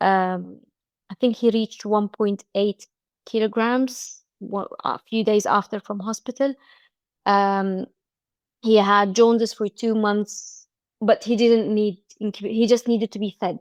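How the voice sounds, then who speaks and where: Fairly slow, monotone, flat delivery with long, frequent pauses, in a dry, close sound with no echo over a quiet background. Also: woman, fairly high pitch for a woman. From Egypt. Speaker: business coach and mother. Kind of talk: interview. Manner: halting.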